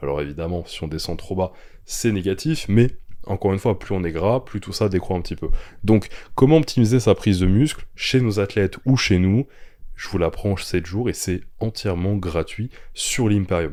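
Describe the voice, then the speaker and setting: Dark, mellow tone from a man, very clean recording with a silent background. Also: ordinary pitch variation, moderate pace. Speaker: bodybuilding coach and podcast host. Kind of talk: podcast monologue. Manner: casual, hesitant with fillers.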